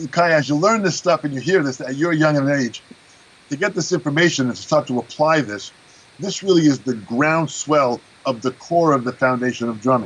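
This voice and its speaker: With a plain, everyday voice, a man talks at a fairly quick pace and a fairly high pitch. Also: ordinary pitch variation. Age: 60s. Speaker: drum teacher and performer. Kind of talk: interview.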